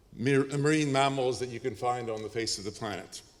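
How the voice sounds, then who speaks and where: Moderate pace, a Canadian accent, ordinary pitch variation and noticeable background noise. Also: man. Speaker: professor. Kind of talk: lecture.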